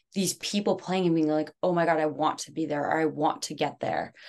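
With a normal speaking voice, a woman talks at a moderate pace in a fairly low pitch with fairly even intonation against a quiet background. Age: 20s. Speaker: baseball team general manager. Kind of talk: casual interview.

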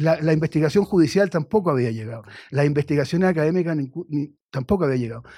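On a very clean recording with a silent background, a man with a dark, mellow tone talks at a very fast pace in a fairly high pitch. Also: ordinary pitch variation. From Chile. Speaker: writer and journalist. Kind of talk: radio interview. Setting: radio studio.

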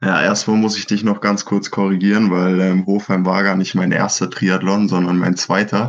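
The man talks with fairly even intonation. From Germany, Franconia (Schweinfurt). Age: 20s. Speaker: professional triathlete. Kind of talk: casual interview.

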